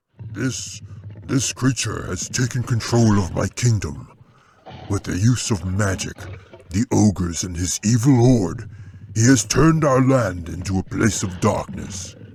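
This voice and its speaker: Putting on a booming character voice, a man speaks at a moderate pace in a fairly low pitch. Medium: read story.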